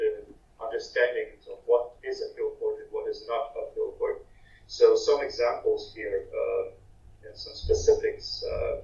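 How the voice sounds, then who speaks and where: A man's extremely high voice at a fairly slow pace, hardly any pauses, big swings in loudness and audible room echo. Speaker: archaeology researcher. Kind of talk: conference talk.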